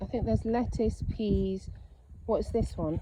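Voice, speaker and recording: A woman speaks with a British accent. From England. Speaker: lifestyle vlogger. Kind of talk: casual vlog narration.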